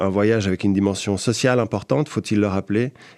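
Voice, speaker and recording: In a Swiss French accent, a man speaks at a fairly quick pace with ordinary pitch variation against a quiet background. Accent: Geneva Swiss French. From Geneva, Switzerland. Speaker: podcast columnist. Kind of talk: podcast chronicle. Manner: hesitant, many fillers.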